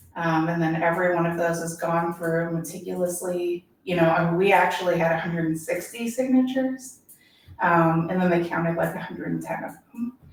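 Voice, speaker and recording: A woman's fairly low voice moves at a fairly quick clip, its pitch varying in an ordinary way, with noticeable background noise around it. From Kentucky, Louisville east end. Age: 40s. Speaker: political candidate. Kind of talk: interview. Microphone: too far from the mic at first.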